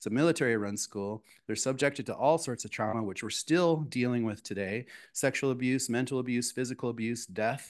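A man with an American accent speaks with ordinary pitch variation. The background is quiet. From US Midwest, South Dakota reservation then Minneapolis. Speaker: chef. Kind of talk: lecture. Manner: fast. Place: hall. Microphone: podium.

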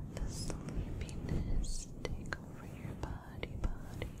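Someone whispers at a very slow pace. The delivery is soft-spoken. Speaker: ASMR creator. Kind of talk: soft relaxation talk. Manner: soft close-mic sleepy whisper. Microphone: studio mic.

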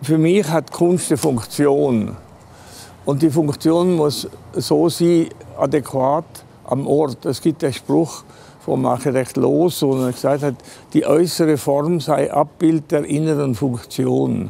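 At a very slow pace, the speech holds a very even loudness with ordinary pitch variation. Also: man. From Switzerland, Engadin; Switzerland. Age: 80s+. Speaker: artist. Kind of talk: interview; interview answer. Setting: train station. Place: station.

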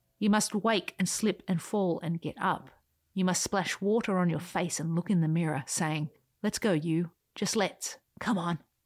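On a very clean recording with a silent background, a woman speaks at a moderate pace in an animated, playful tone, with ordinary pitch variation and very even loudness. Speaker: podcast host. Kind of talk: scripted audio reading of a written essay, turning into a pep talk. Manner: animated, playful, whimsical; urgent, rousing, emphatic pep-talk delivery with dramatic bursts and soft intimate asides.

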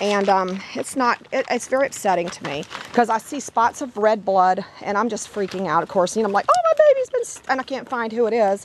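A woman speaks at a fairly high pitch and a fairly quick pace, her tone animated. Noticeable background noise can be heard. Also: ordinary pitch variation. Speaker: dog breeder. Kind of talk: casual video narration. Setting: basement with dogs.

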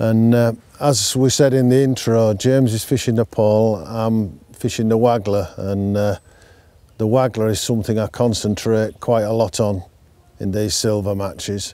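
A man with a Yorkshire accent speaks in a dark, mellow tone with fairly even intonation, the sound dry with no echo. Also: moderate pace. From North Yorkshire. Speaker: angler, brand ambassador; presenter. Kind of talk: fishing tutorial chat. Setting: outdoors at a fishing lake. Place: waterside. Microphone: lapel.

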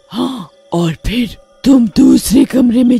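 A put-on character voice is heard with faint music in the background. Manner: coaxing, persuasive.

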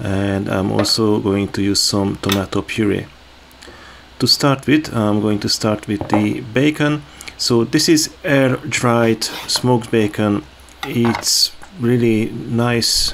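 At a very slow pace and with ordinary pitch variation, a man speaks over noticeable background noise. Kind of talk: cooking tutorial. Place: kitchen. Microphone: phone near.

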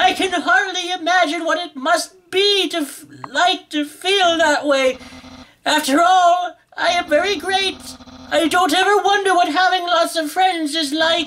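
A man's put-on character voice, pitched extremely high. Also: fairly slow pace. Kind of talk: comic overacting. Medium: game stream. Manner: loud, theatrical, grandiose and excitable.

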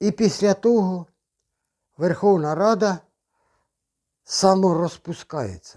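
A man with a high, dark, mellow voice speaks very slowly with ordinary pitch variation and long, frequent pauses. The recording is very clean, with a silent background and a dry, close sound with no echo. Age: 60s. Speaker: retiree video blogger. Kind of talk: casual monologue.

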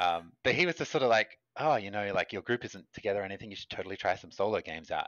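Against a quiet background, a man with an Australian accent talks at a very fast pace. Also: dry sound with no echo. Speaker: game designer. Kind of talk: casual interview chat. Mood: relaxed, friendly, smiling. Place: home room.

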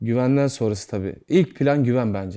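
A man speaks at a fairly quick pace, with a dark, mellow tone and ordinary pitch variation. The recording is very clean and the background silent. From Turkey, İzmit. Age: 20s. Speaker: actor. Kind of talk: interview.

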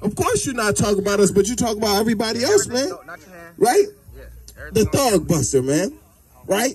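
Music plays in the background as a man talks in an animated tone. He speaks at a very fast pace, with long, frequent pauses. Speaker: street preacher. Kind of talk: street preaching. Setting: outdoors. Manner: loud. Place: open country. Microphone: camera far.

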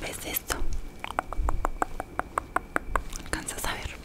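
Soft-spoken, a woman talks at a fairly slow pace. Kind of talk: ASMR roleplay. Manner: soft close-mic ASMR voice. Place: office. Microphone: studio mic.

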